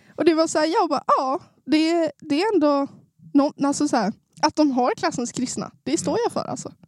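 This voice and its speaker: Her pitch is high and her intonation lively as a woman speaks at a moderate pace. The sound is dry and close, with no echo. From Sundsvall, Norrland, northern Sweden. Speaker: new podcast co-host. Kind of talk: casual chat.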